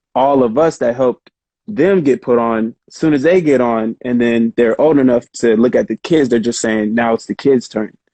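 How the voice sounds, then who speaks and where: A man speaks in a normal speaking voice at a medium pitch with ordinary pitch variation. His moderate pace comes through in a dry, close sound with no echo. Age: 30s. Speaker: krump dancer. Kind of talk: casual interview chat.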